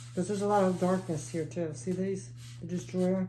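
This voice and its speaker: The woman's voice has a fairly low pitch and moves at a moderate pace. Audible room echo surrounds it. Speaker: tarot reader. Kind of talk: tarot reading. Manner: halting, self-correcting.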